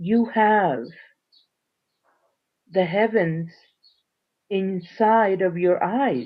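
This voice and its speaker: Her pitch is medium for a woman, with ordinary variation. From Central America, Nicaragua/Honduras border. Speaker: Mayan elder and traditional healer. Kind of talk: spiritual conference talk. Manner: slow.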